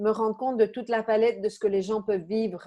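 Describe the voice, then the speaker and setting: Over a quiet background, a woman speaks in a fairly high pitch with monotone, flat intonation. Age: 50s. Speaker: coach and therapist. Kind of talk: interview conversation. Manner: hesitant, many fillers.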